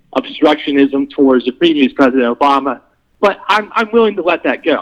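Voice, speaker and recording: An ordinary speaking voice. The pace is moderate. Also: man. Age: 30s. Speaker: political candidate. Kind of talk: casual debate.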